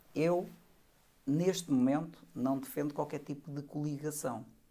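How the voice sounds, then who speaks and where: Speaking at a fairly slow pace, a man has a fairly high pitch, a dark, mellow tone and fairly even intonation. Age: 50s. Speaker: retired army colonel and party leadership candidate. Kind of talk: podcast interview.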